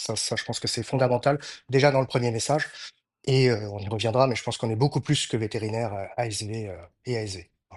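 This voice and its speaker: A man talks at a very fast pace with a medium pitch. His intonation is fairly even and the background is quiet. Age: 50s. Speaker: veterinarian. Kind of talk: interview conversation. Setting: podcast recording. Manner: hesitant, many fillers.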